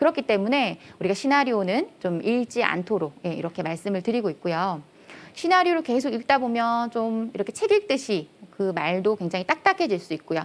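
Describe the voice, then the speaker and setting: A woman speaks loudly at a fairly high pitch, her voice making very wide pitch swings. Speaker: career lecturer, company head. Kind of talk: lecture.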